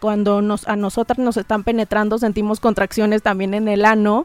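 A woman at a fairly high pitch and a fairly quick pace, in a very clean recording with a silent background and a dry, close sound with no echo. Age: 30s. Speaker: sexologist and psychologist. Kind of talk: casual chat.

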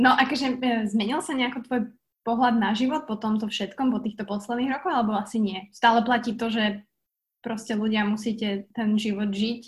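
Somewhat breathy, a woman with a fairly high voice speaks at a moderate pace with fairly even intonation. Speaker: podcast host. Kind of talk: interview. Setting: video call.

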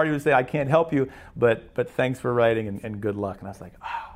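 A man with a plain, everyday voice, a medium pitch, ordinary pitch variation and a fairly quick pace, on a very clean recording with a silent background. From western Pennsylvania. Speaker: baseball public address announcer. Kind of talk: personal storytelling.

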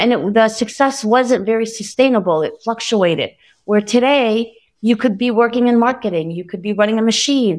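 A woman speaks in an ordinary speaking voice, fairly high-pitched, at a moderate pace with ordinary pitch variation. The recording is very clean, with a silent background. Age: 50s. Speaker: manufacturing company CEO. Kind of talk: interview.

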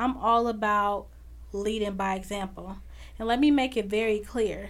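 Audible room echo surrounds a woman with an American accent who speaks at a moderate pace with fairly even intonation. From Chicago. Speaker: podcast host. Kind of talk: faith-based motivational monologue.

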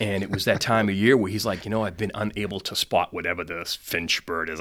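A man talks at a fairly low pitch and fairly quick pace in an unremarkable speaking voice. The recording is very clean, with a silent background. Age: 50s. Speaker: sales executive. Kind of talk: interview.

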